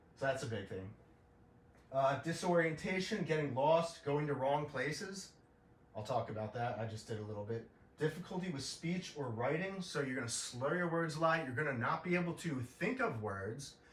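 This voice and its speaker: Lively intonation comes through at a moderate pace, with audible room echo and noticeable background noise. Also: man. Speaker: podcaster sharing illness experience. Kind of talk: informal explainer monologue. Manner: halting, many fillers and repetitions; casual.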